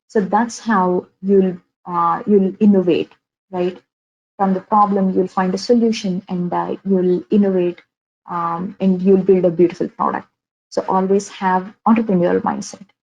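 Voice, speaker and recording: Speaking fairly slowly in a Telugu accent, a woman uses a medium pitch and a monotone, flat intonation. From India, Andhra Pradesh (Vijayawada). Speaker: software engineer giving career talk. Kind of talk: webinar talk. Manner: many fillers and repetitions.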